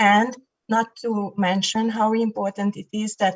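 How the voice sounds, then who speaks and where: The intonation stays flat and monotone. A somewhat breathy quality colors the voice. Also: woman. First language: not Finnish. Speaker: municipal election candidate. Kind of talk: online election debate. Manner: hesitant, with fillers.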